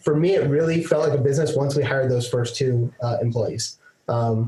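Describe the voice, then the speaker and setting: Speaking at a fairly quick pace, a man with a fairly high, somewhat breathy voice has a dark, mellow tone, very even loudness and ordinary pitch variation. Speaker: online course instructor and entrepreneur. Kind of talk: podcast interview. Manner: fast.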